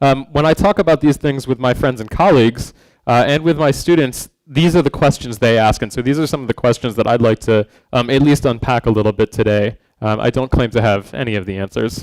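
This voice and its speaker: Speaking fairly quickly with a normal speaking voice, a man keeps a medium pitch and ordinary pitch variation in a dry, close recording with no echo. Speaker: design speaker / educator. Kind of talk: conference talk. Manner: many filler words (um, uh).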